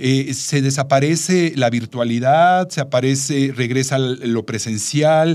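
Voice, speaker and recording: At a fairly slow pace, a man with a fairly high pitch and ordinary pitch variation speaks in an ordinary speaking voice, in a very clean recording with a silent background. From Mexico, Veracruz port. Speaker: travel podcast co-host. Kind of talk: casual chat.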